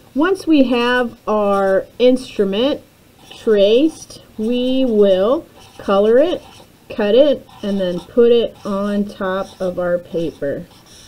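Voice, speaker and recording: Over noticeable background noise, a woman speaks very slowly at a fairly high pitch with lively intonation. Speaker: elementary art teacher. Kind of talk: tutorial for young children.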